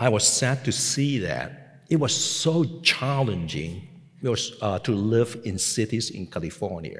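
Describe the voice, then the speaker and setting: Intonation is lively and the voice somewhat breathy. The pace is fairly slow. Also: man, medium pitch for a man. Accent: Hong Kong. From Hong Kong. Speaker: pastor. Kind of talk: sermon. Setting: seminary chapel with audience.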